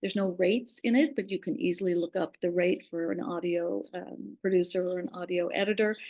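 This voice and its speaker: With an unremarkable speaking voice, a woman talks at a moderate pace and a medium pitch, her pitch varying in an ordinary way. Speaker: podcast host and former radio producer. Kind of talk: presentation in a webinar.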